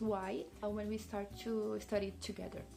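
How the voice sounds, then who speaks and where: The speaker goes at a moderate pace with audible room echo. Music plays in the background. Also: woman. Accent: Portuguese. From Brazil. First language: Portuguese. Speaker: language teacher. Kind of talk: tutorial.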